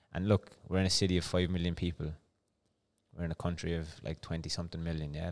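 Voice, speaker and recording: A man with a very deep, low pitch talks at a fairly quick pace in a monotone, flat way. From Cork, Ireland. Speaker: barber and former cyclist. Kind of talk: casual interview chat. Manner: relaxed, chatty.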